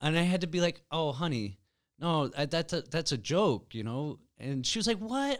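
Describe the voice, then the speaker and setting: At a moderate pace, a man with a fairly high pitch speaks with very wide pitch swings. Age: 30s. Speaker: podcast host and comedian. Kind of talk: casual chat.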